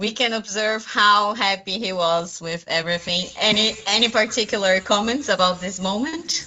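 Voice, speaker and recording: Noticeable background noise sits behind a woman who speaks at a medium pitch with hardly any pauses. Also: ordinary pitch variation, moderate pace. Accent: non-native. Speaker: junior academic, interviewer. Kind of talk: interview.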